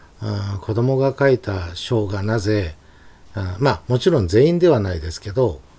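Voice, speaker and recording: A man with a plain, everyday voice, fairly low in pitch, with lively intonation at a moderate pace. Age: 50s. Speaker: calligrapher. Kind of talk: casual interview.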